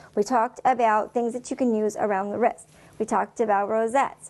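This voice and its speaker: The speaker is a woman with a fairly high pitch. She talks at a fairly quick pace. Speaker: fashion show host. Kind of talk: presenting tutorial. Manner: fast; animated.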